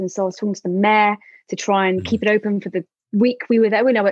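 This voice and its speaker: The speaker is a woman with a London accent. Her pitch sits in the middle range. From London, England. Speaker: tour manager. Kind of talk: casual interview chat. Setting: video call. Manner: hesitant, many fillers and repetitions.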